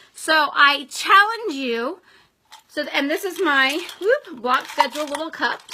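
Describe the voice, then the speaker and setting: Over noticeable background noise, a woman projects a raised, high-pitched voice with lively intonation at a fairly slow pace. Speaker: direct sales team leader. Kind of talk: live video training. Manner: animated.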